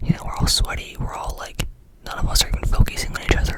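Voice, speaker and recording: Fairly quickly, a woman whispers. Noticeable background noise can be heard. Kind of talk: ASMR whispered ramble. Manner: whispered, fast-paced, casual rambling with filler words.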